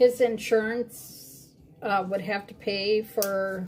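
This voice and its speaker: This is a woman's voice. It rests at a medium pitch. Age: 60s. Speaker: crafter streaming live. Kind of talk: live stream craft demo chat. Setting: live stream. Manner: casual, many fillers.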